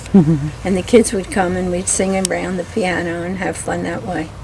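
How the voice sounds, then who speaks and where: A woman with an American accent talks at a moderate pace over noticeable background noise. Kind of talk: interview answer.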